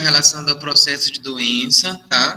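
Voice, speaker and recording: A plain, everyday voice from a man with fairly high pitch and ordinary pitch variation. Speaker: nursing instructor. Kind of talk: lecture.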